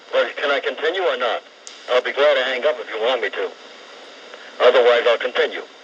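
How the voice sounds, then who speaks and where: Against noticeable background noise, a man talks at a very fast pace but breaks it with long, frequent pauses. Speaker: caller. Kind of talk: call-in talk radio. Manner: sounds elderly.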